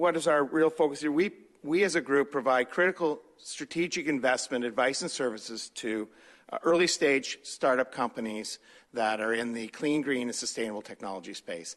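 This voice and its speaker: In a Canadian accent, a man with a medium pitch speaks at a moderate pace with lively intonation over a quiet background. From Ontario, Canada (Huron County). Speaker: nonprofit executive director, retired company president. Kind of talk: presentation to council. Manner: halting, many fillers.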